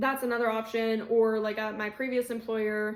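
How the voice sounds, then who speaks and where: A woman's fairly high voice comes out in a monotone, flat intonation. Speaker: video creator giving workplace benefits tips. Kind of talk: casual explainer video. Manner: breathless at times.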